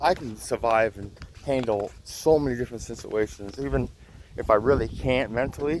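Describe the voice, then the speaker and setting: At a moderate pace, a man speaks at a medium pitch with ordinary pitch variation over noticeable background noise. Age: 30s. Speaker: vlogger in addiction recovery. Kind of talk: personal testimony vlog. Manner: halting.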